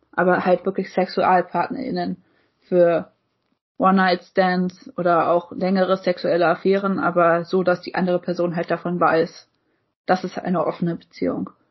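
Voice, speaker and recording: Somewhat breathy, a woman speaks at medium pitch and a moderate pace. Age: 20s. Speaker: podcast co-host. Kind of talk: casual chat.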